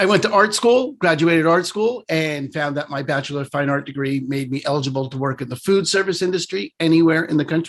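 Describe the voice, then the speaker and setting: A man with a New York accent and a fairly high pitch, at a very fast pace with hardly any pauses and ordinary pitch variation. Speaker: real estate broker. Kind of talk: casual presentation.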